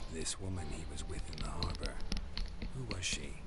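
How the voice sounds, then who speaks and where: A man whispers in a put-on character voice at a moderate pace over loud background noise. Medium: machinima. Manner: terse, deadpan.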